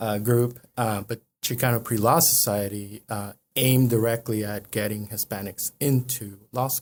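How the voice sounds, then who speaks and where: A man speaks at a moderate pace. His pitch is medium and his intonation fairly even. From northern Mexico and El Paso, Texas. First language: Spanish. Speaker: lawyer. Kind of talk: casual interview. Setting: studio. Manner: hesitant, many fillers.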